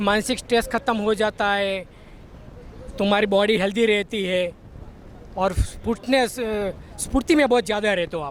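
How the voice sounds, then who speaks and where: A man with a high pitch and ordinary pitch variation speaks with long, frequent pauses. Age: 60s. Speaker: yoga practitioner. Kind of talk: interview answers.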